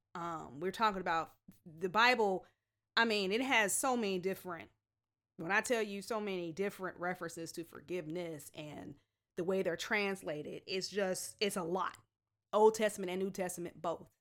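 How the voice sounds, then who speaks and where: Speaking at a moderate pace with a normal speaking voice, a woman holds a medium pitch and ordinary pitch variation. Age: 40s. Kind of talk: faith-based teaching talk. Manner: informal with frequent fillers.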